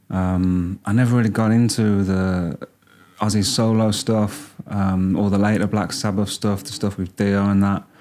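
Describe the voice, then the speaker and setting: With a Birmingham accent, a man speaks in a fairly low pitch, his tone dark and mellow and his intonation fairly even. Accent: Birmingham (Brummie). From Birmingham, England. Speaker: music reaction youtuber. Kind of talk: casual reaction commentary. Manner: hesitant, many fillers.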